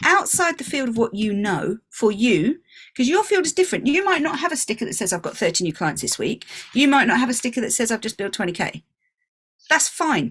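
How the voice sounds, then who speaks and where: With a British accent, a woman speaks with very wide pitch swings. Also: fairly high pitch for a woman, fairly quick pace. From England. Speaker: business coach. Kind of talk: online workshop talk.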